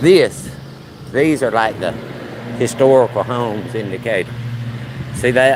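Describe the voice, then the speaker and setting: Over noticeable background noise, a man with a Southern US accent and a medium pitch talks at a fairly slow pace, leaving long, frequent pauses. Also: ordinary pitch variation. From Alabama, US South. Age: 50s. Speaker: livestreamer. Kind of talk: casual live-stream walk commentary. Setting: outdoors, walking in a neighborhood. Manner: casual, chatty.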